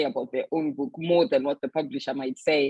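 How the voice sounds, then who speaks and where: A woman speaks with a Zimbabwean accent. The sound is dry and close, with no echo. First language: Shona. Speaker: author and publisher. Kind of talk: panel talk.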